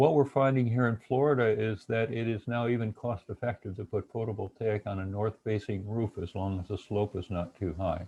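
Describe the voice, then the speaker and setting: The speech comes at a fairly quick pace with hardly any pauses, in a dark, mellow, somewhat breathy tone with ordinary pitch variation. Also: man, fairly low pitch for a man. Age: 70s. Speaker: retired engineering professor and webinar presenter. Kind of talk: webinar lecture. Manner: halting with frequent fillers and repetitions.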